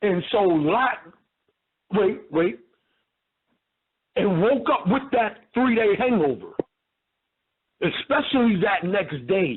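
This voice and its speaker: Speaking very slowly with long, frequent pauses in an American accent, the voice keeps very even loudness while its pitch swings very widely. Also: man, high pitch for a man. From New York. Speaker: religious debater. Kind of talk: phone-in debate.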